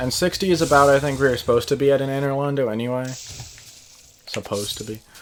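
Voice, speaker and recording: Noticeable background noise is present. The delivery comes at a fairly quick pace. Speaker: video game streamer. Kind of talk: gameplay commentary. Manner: casual, rambling.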